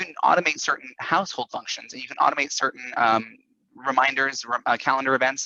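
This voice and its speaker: Talking at a very fast pace, a man speaks. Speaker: business presenter. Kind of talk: tutorial.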